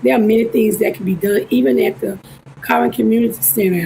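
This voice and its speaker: A woman with an Alabama accent, amid noticeable background noise. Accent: Southern US (Alabama). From US South (Alabama). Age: 60s. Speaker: political candidate. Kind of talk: election interview; campaign closing speech. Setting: livestream interview.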